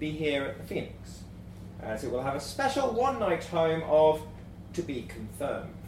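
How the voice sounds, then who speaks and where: Moving at a moderate pace, the voice makes very wide pitch swings over noticeable background noise. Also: man. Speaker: live event host. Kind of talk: live show hosting and introductions. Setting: stage with live audience.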